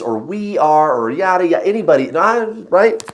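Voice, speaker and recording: Very wide pitch swings from a man at a moderate pace, with noticeable background noise. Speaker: tarot reader. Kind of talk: casual spiritual talk to camera. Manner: halting, many fillers.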